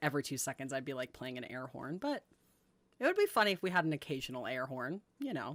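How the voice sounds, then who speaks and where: This voice has a bright, sharp, animated tone, moving at a fairly quick pace with ordinary pitch variation. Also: woman. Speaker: streamer. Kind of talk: casual live stream chat.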